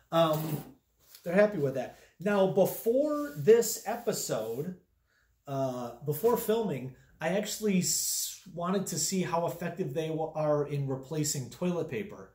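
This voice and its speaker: Speaking fairly slowly, a man with a high yet dark, mellow voice is heard with audible room echo against a quiet background. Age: 30s. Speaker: comedic product reviewer. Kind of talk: comedic product review vlog. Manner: halting, filler-heavy. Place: home room.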